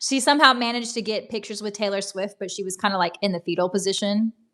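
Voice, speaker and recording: A woman speaks in a strong Southern American accent at a very fast pace, with a medium pitch and ordinary pitch variation. The recording is very clean, with a silent background. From US South. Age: 40s. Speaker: livestreamer. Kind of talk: casual chat. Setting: livestream from laptop.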